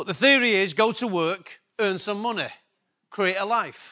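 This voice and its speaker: A man's high-pitched, raised, projected voice, bright and sharp in tone, at a fairly slow pace. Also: quiet background. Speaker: pastor. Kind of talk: sermon. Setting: church.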